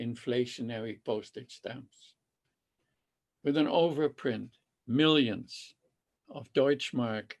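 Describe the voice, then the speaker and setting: A man speaks with a Dutch accent. His medium-pitched voice holds a fairly even intonation. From Netherlands, Amsterdam. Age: 80s+. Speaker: Holocaust survivor. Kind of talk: testimony. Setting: video call. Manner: halting.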